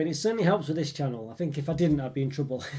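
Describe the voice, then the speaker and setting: Very fast speech comes in a somewhat breathy voice with a dark, mellow tone. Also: man. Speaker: chocolate review youtuber. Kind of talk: casual live stream chat. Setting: live stream. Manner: hesitant, many fillers.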